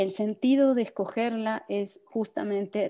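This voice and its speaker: A woman's medium-pitched voice, dark and mellow, at a fairly slow pace over a quiet background. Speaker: typography researcher and historian. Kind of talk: presentation.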